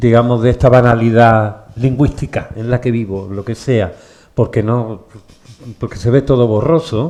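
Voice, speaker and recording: A man's medium-pitched voice, dark and mellow in tone, with fairly even intonation at a fairly slow pace. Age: 60s. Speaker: bookshop event host, interviewer. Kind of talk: public conversation with author.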